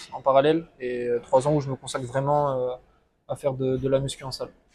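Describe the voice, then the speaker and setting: A man's somewhat breathy, dark and mellow voice at medium pitch, monotone and flat, at a moderate pace. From southwest France (Landes). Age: 20s. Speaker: coaching client. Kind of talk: testimony interview. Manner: hesitant, many fillers.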